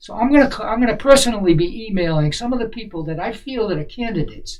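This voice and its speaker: Noticeable background noise sits under speech delivered fairly quickly. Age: 70s. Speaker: local political activist. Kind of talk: online meeting monologue. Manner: halting.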